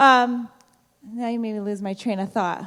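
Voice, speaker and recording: Loud and at a moderate pace, a woman speaks. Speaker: high school principal. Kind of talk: school assembly speech. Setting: auditorium with student audience.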